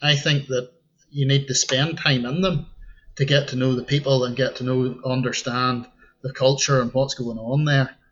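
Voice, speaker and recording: At a medium pitch, a man talks in a somewhat breathy voice. His intonation is monotone and flat, and his pace is moderate. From Northern Ireland, County Antrim north coast. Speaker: tour guide / local expert. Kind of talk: podcast interview.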